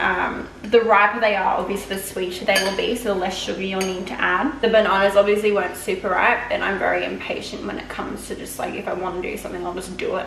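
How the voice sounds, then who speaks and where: Words come at a very fast pace with fairly even intonation, over light background noise and audible room echo. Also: woman. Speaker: home baking vlogger. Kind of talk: casual vlog chat. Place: kitchen. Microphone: camera far.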